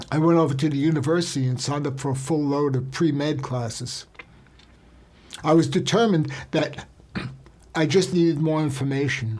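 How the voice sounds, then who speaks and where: Audible room echo surrounds a man's fairly high voice. He talks fairly quickly with fairly even intonation and long, frequent pauses. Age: 70s. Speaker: health and wellness speaker. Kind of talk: personal testimony. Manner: intimate.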